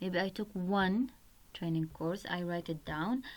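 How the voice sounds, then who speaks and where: A woman speaks in an Arabic accent with ordinary pitch variation. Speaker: website tutorial presenter. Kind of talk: tutorial.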